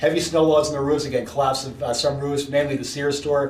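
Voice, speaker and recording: A man with a US East Coast accent talks at a very fast pace in a fairly high pitch. Noticeable background noise and audible room echo surround his voice. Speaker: meteorologist. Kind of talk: weather briefing presentation.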